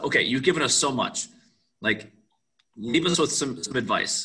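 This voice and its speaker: A man with an Upper Midwest accent, bright, sharp tone, ordinary pitch variation and a moderate pace. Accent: Upper Midwest American. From Wisconsin, Waukesha. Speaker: podcast host and baseball coach. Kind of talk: interview.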